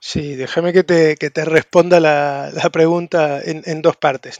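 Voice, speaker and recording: A man with an Argentine accent, fairly high-pitched, in a dry, close sound with no echo, monotone and flat, at a moderate pace. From Argentina. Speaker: tech recruitment entrepreneur, consultant. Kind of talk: casual interview. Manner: halting, repeats words.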